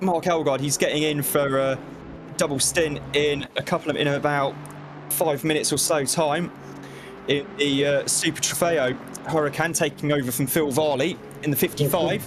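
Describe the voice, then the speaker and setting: The voice holds very even loudness and fairly even intonation. Noticeable background noise sits behind it. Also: man. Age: 20s. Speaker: sim racing commentator. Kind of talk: live commentary. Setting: commentary box.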